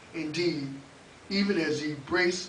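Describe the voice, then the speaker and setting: A man with an American accent, fairly high pitch and fairly even intonation, amid noticeable background noise and audible room echo. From Oklahoma, Oklahoma City. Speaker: open mic host and spoken word poet. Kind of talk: spoken word poetry performance; open mic hosting.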